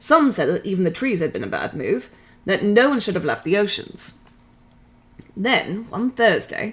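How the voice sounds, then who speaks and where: A woman speaks at medium pitch and a moderate pace. Her voice is somewhat breathy. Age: 30s. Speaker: streamer reading books aloud. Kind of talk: reading aloud. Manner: put-on British accent for the reading.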